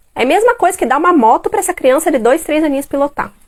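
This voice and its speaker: A woman talks at a fairly quick pace in an animated tone, her pitch swinging very widely. Noticeable background noise runs underneath. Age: 30s. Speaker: parenting educator. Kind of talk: live stream talk. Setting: live stream at home.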